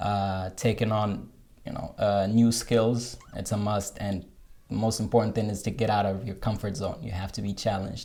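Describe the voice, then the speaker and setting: In an American accent, the speaker uses a dark, mellow tone at a moderate pace with fairly even intonation. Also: man, fairly low pitch for a man. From Morocco, Rabat. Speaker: software developer, digital nomad. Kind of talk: interview. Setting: coworking space. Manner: halting, frequent fillers and repeats.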